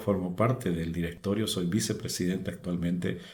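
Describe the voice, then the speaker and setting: A man speaks with a very deep, low pitch and fairly even intonation. There is audible room echo. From Bolivia, Beni lowlands. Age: 60s. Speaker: fish farmer, former broadcaster. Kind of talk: testimony. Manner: halting.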